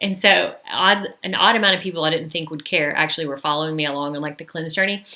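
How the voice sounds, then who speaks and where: A woman with a Southern US accent talks at a very fast pace with hardly any pauses and fairly even intonation, over noticeable background noise. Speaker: social media marketing coach. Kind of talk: live webinar training. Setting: YouTube livestream. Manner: casual, filler-heavy.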